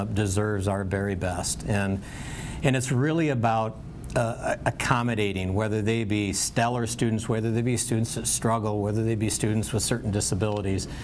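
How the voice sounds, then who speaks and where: Over light background noise, a man with an unremarkable speaking voice talks in a fairly low pitch with fairly even intonation. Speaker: school board member running for reelection. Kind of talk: candidate forum statement. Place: meeting room. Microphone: podium.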